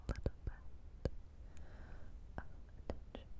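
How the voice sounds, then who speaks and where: A soft-spoken woman's whisper. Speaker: ASMR creator. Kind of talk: soft-spoken ASMR personal attention. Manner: soft close-mic ASMR whisper. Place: home room. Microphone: studio mic.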